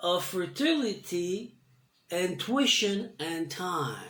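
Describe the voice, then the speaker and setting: The speaker goes at a very slow pace with a French accent. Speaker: spiritual storyteller. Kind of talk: reading aloud with commentary. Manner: halting.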